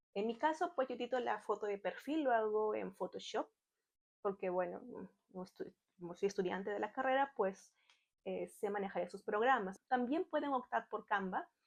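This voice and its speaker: A woman speaks at a moderate pace with a fairly high pitch and lively intonation. It is a plain, everyday voice. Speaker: online Spanish tutor and YouTuber. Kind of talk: tutorial.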